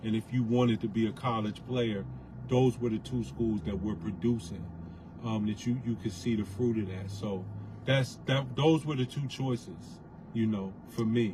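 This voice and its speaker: An unremarkable speaking voice talks at a moderate pace. Its pitch variation is ordinary. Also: man, medium pitch for a man. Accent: American. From Bridgeport, Connecticut. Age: 40s. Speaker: former basketball player, restaurant entrepreneur. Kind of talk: casual chat.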